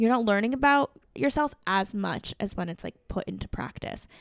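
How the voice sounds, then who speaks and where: The sound is dry and close, with no echo. A woman talks at a moderate pace, her pitch swinging very widely. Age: 20s. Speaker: content creator and entrepreneur. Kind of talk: casual interview. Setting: in-person studio recording.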